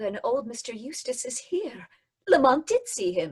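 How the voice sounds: A woman puts on a character voice with a fairly high pitch, a husky, rough edge, very wide pitch swings and a fairly slow pace. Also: slightly mellow tone.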